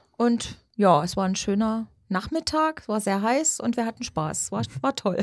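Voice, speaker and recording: Her pitch fairly high and swinging very widely, a woman speaks at a moderate pace with hardly any pauses. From Saxony, Radebeul near Dresden. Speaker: schlager singer. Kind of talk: interview.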